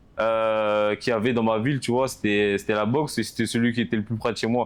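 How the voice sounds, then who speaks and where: At a fairly quick pace, a man speaks at a medium pitch with very even loudness. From France, Paris suburbs (Val-d'Oise). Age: 20s. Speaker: professional boxer. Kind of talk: casual interview. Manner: hesitant, many fillers.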